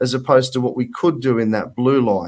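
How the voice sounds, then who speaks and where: A man talks in an Australian accent at a fairly quick pace. His voice sits at a medium pitch. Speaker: finance broker. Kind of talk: presentation. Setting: video call. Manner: animated.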